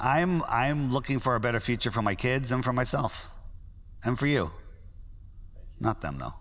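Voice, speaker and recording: This man has an American accent and a medium-pitched voice with vocal fry. He talks at a moderate pace with ordinary pitch variation and long, frequent pauses. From US Northeast, Connecticut. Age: 60s. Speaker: conspiracy theorist app founder. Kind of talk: interview.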